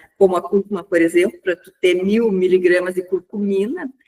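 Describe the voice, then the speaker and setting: A woman with an ordinary speaking voice talks at medium pitch and a moderate pace, her pitch varying in an ordinary way. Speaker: pain physician. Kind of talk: lecture.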